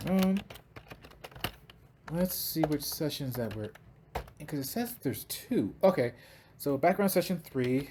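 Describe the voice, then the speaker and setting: With an American accent, a man speaks at a fairly high pitch with very wide pitch swings and big swings in loudness. His pace is moderate with long, frequent pauses, over noticeable background noise. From Chicago. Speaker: penetration tester. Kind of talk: screen-recorded tech tutorial walkthrough.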